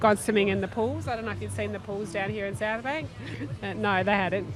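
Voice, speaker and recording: A woman of medium pitch speaks with a strong Australian accent over noticeable background noise. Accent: very Australian. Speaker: race broadcast presenter. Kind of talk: live event commentary and interviews. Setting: outdoors at race finish line. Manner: casual, halting.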